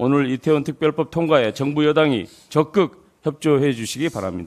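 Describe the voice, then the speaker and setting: A man's fairly high voice at a moderate pace against a quiet background. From South Korea. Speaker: politician. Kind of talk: prepared political speech. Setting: party leadership meeting. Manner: formal. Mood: critical, firm. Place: meeting room. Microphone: podium.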